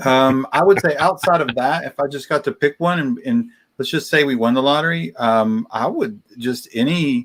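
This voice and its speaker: A fairly high-pitched male voice with very wide pitch swings and hardly any pauses. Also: moderate pace. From West Virginia. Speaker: podcast co-host. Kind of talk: casual chat. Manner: slightly slurred.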